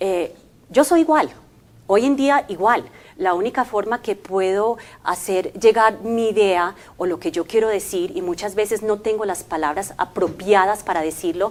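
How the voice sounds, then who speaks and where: Her intonation lively, a woman talks at a fairly slow pace with a medium pitch. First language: English (speaking Spanish). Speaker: language company commercial manager. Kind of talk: interview. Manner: hesitant, many fillers.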